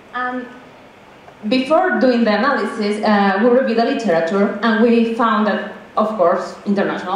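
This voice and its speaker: A woman with a Mexican accent speaks at a fairly quick pace in a fairly high pitch with ordinary pitch variation, amid audible room echo and noticeable background noise. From Mexico. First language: Spanish. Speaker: graduate student researcher. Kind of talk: conference presentation. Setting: conference room with audience.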